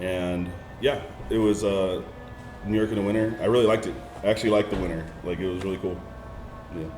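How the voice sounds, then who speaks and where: Backed by music and audible room echo, a man with an American accent and a fairly low pitch speaks at a very fast pace with fairly even intonation and long, frequent pauses. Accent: slight country twang on certain words. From Southern California, then North Carolina from age 11. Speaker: DJ. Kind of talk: casual chat.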